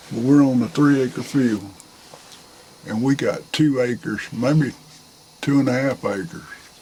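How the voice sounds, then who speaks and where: A man with a Southern US accent speaks at a medium pitch and a fairly slow pace, with ordinary pitch variation. Long, frequent pauses break his speech, and there is noticeable background noise. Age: 60s. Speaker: hunter, father of the channel owner. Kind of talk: casual chat. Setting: outdoors.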